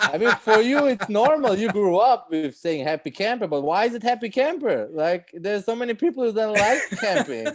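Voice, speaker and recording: There is noticeable background noise as a man with a Swiss accent talks at a fairly quick pace. His pitch is high and swings very widely. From Switzerland. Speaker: stand-up comedian. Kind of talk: casual interview chat. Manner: halting, many fillers.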